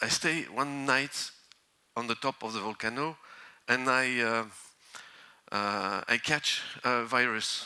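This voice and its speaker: The speaker has a French accent. The pace is very slow. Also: man. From northern France. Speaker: volcanologist. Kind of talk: conference talk. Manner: halting.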